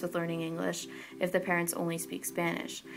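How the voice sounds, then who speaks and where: A woman with an American accent and a fairly low pitch, speaking at a fairly quick pace over background music. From Oregon, US. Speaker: college student interviewee. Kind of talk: interview.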